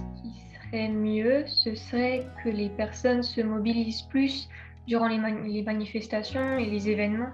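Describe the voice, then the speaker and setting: A woman at a fairly slow pace with music in the background. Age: young. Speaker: volunteer for a multiple sclerosis foundation. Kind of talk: interview answer.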